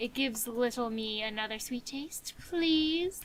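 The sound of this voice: A raspy, put-on character voice moves at a moderate pace over clear background noise. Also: woman, high pitch for a woman.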